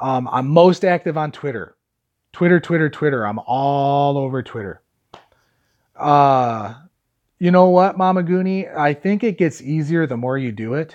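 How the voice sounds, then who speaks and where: Fairly slow, lively speech from a man with an American accent and fairly high pitch, against a quiet background. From Chicago area, US Midwest. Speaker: vlogger. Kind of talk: live stream chat with viewers. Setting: live stream from phone. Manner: loud. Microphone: phone audio with noise cancelling earbud in.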